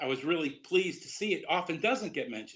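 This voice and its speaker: Lively intonation in a Boston accent. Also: man. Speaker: Huntington disease educator. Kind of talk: lecture.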